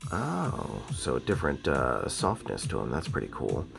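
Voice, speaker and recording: A man's pitch swings very widely as he talks at a moderate pace, with music playing behind him. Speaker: audio gear reviewer. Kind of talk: casual unboxing talk to camera. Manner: casual, informal.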